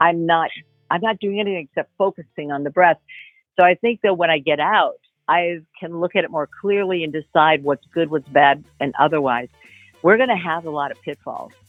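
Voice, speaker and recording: A woman with an American accent speaks at a moderate pace in a fairly low pitch, her pitch varying in an ordinary way, with music in the background. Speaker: voice actor. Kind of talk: interview answer.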